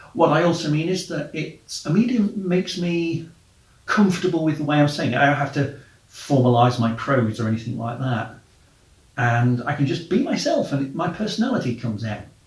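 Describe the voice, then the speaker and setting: Audible room echo surrounds a man whose fairly high, somewhat breathy voice moves at a fairly quick pace. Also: lively intonation. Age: middle-aged. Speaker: travel podcaster and blogger. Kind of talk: casual monologue.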